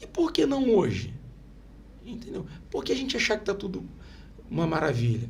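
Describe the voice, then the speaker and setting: A man at a moderate pace, with long, frequent pauses and audible room echo. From Brazil, Itaguaí (Rio de Janeiro state). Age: 50s. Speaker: local politician. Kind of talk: interview. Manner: animated.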